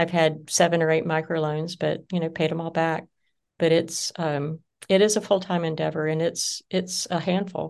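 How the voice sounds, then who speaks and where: Over a quiet background, a woman with a Southern US accent speaks at a moderate pace in a fairly low pitch, her intonation monotone and flat. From US South (Georgia). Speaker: business founder. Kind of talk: interview.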